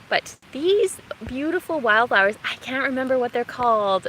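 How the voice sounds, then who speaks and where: Noticeable background noise sits behind a woman who speaks in a high pitch at a fairly slow pace with lively intonation. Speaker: gardening vlogger. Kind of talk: live walking vlog. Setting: outdoors, forest park. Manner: soft-spoken.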